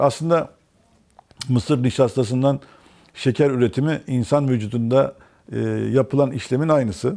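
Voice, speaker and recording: Against a quiet background, a man talks at a moderate pace with ordinary pitch variation. He leaves long, frequent pauses. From Turkey, raised in many places incl. Erzurum; Turkey. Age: 50s. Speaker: mechanical engineer; interview guest. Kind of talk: interview. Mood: relaxed, smiling. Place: studio. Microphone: lapel.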